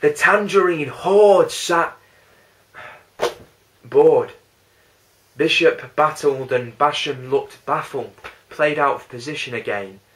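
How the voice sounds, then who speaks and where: In a Lancashire accent, the speaker moves at a very slow pace with long, frequent pauses. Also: man. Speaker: spoken word poet. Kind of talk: spoken word poetry performance.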